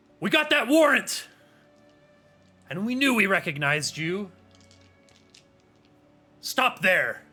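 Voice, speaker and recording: Shouting in a put-on character voice at a high pitch, a man speaks at a fairly slow pace with very wide pitch swings and long, frequent pauses, while faint music plays in the background. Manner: yelling, commanding.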